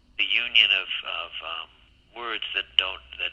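A man with an American accent speaks at a moderate pace, with noticeable background noise behind him. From Massachusetts. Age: 40s. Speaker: film title designer. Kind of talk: interview. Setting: phone call.

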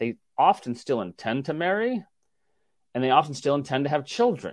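Speaking at a moderate pace with lively intonation, a man uses a plain, everyday voice. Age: 50s. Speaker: sociology professor. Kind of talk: interview.

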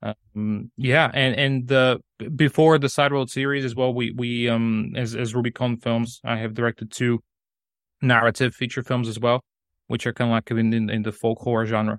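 Delivered in a Bulgarian accent at a moderate pace, the speech is monotone with flat intonation. The sound is dry and close with no echo, over a quiet background. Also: man, medium pitch for a man. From Bulgaria (Sofia). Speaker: film director. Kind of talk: interview. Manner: halting, many repetitions and fillers.

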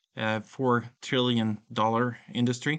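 Against a quiet background, a man with a Swedish accent speaks in a bright, sharp tone. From rural Sweden. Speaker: tech company founder and CEO. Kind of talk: interview. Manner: halting.

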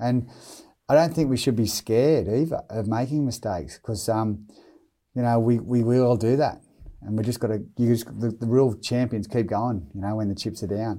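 Against a silent background on a very clean recording, a man with an Australian accent speaks at a medium pitch with ordinary pitch variation and a dark, mellow tone. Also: moderate pace. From Australia, Newcastle NSW. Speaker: former rugby league player and brain cancer charity founder. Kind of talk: interview.

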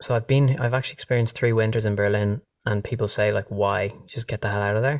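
A man rushes along at a very fast pace, his pitch medium and his intonation fairly even. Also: dry, close sound with no echo. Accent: Dublin. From Ireland, Dublin. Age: 30s. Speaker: musician. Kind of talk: casual chat. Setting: video call.

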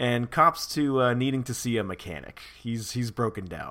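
Reading in a natural voice.

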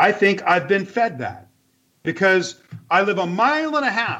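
A man's raised, projected voice, high-pitched and bright with a sharp tone, at a moderate pace in an American accent. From US West Coast, Los Angeles. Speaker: communications consultant and art director. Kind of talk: casual interview chat.

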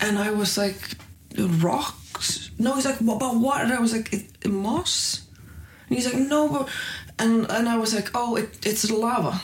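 In an Icelandic accent, the voice moves at a fairly slow pace with ordinary pitch variation and very even loudness. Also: woman, fairly high pitch for a woman. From northern Iceland. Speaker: comedian. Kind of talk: casual chat. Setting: green room backstage at comedy club.

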